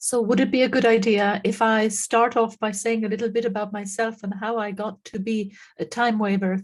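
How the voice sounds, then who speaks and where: Speaking with an Irish accent, a woman delivers her words in a monotone, flat, somewhat breathy voice. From Ireland. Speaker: frequency therapy practitioner. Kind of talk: interview.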